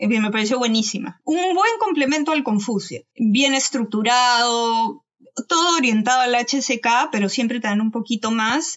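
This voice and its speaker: A woman speaks in an ordinary speaking voice at a moderate pace. Her pitch is fairly high, with ordinary pitch variation. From Peru. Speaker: doctoral student. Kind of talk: casual chat.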